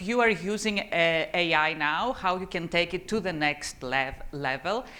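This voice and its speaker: At a moderate pace, the voice moves through ordinary pitch variation. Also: woman. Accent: Greek. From Greece. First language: Greek. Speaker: tech executive and conference speaker. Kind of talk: conference talk. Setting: conference stage with audience. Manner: animated, speaks with her hands; stammers on some words.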